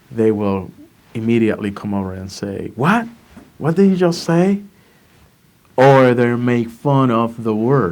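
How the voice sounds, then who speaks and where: Speaking in a Puerto Rican accent, a man at medium pitch moves at a fairly slow pace with very wide pitch swings and long, frequent pauses. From Puerto Rico. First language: Spanish. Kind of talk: interview answer.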